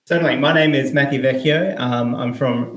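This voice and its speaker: In an Australian accent, a man talks at a moderate pace with ordinary pitch variation. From South Australia. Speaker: indie game developer. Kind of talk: interview.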